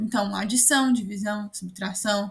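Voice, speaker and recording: Her pace is moderate and her pitch varies in an ordinary way. This woman has a plain, everyday voice. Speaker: student tutor. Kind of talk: online class tutorial. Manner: casual.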